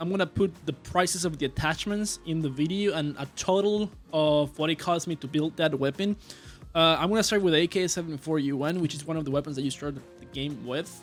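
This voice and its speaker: Over music in the background, a man speaks at a fairly quick pace with a fairly high pitch and ordinary pitch variation. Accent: strong non-native. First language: not English. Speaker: gaming video creator. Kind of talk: gameplay tutorial. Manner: halting, many filler sounds.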